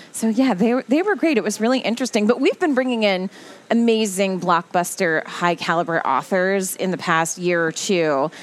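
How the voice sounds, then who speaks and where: A woman with a plain, everyday voice speaks at a medium pitch in an American accent. Her moderate pace comes with lively intonation and very even loudness. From New Jersey. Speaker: library spokesperson, former TV journalist. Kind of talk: casual radio interview. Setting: radio studio.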